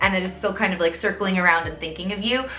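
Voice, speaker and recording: In an American accent, a woman speaks at a medium pitch with ordinary pitch variation. Audible room echo and noticeable background noise surround her voice. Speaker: tarot reader. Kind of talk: tarot reading monologue. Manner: casual, conversational.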